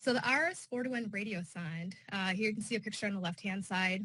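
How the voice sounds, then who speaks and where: A woman's medium-pitched voice, bright and sharp in tone, with ordinary pitch variation and a fairly quick pace. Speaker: weather service staff presenter. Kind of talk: conference presentation. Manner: fast.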